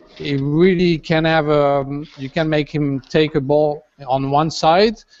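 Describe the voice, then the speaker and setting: Speaking very slowly with a French accent, a man uses a fairly high pitch and fairly even intonation. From France. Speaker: designer and sculptor building a robot. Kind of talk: panel interview. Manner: halting, many fillers.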